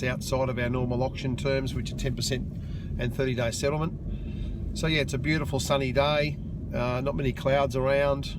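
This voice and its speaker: Over noticeable background noise, a man with medium pitch speaks at a moderate pace with fairly even intonation. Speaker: real estate agent and auctioneer. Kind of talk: casual talk to camera, video blog while driving. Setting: in a car, on the way to an auction.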